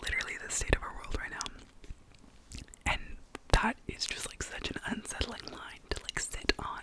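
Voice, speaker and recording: Someone whispers in a relaxed tone at a moderate pace, with long, frequent pauses and noticeable background noise. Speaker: ASMR creator and book reviewer. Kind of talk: casual reading wrap-up talk to camera. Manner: soft-spoken, relaxed.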